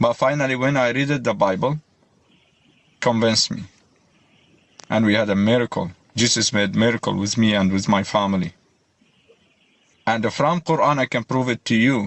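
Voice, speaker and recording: With an Arabic accent, a man speaks in a medium pitch at a moderate pace, using ordinary pitch variation. Long, frequent pauses break his speech over music in the background. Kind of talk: heated debate.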